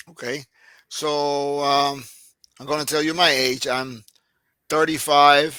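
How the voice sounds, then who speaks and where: A man with a Puerto Rican accent, fairly high-pitched, with a bright, sharp tone, flat monotone intonation, a very slow pace and long, frequent pauses. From Puerto Rico. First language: Spanish. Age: 60s. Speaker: army veteran, former medic. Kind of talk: casual interview. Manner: halting, many fillers.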